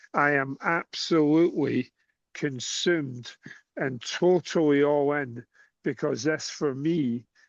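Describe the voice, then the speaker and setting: Fairly even intonation comes with a Scottish accent. The sound is dry and close with no echo, over a quiet background. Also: man. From Scotland. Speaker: cue sport coach. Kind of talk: casual chat.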